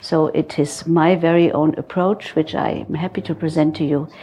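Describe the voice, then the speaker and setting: A woman with a German accent speaks at a fairly low pitch with fairly even intonation. Noticeable background noise runs behind her. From Germany. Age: 60s. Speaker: psychotherapist. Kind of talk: lecture. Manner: halting.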